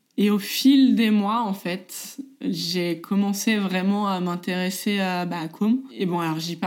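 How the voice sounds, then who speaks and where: With a plain, everyday voice, a woman speaks at a medium pitch with ordinary pitch variation. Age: 30s. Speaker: mother sharing her story. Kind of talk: personal testimony.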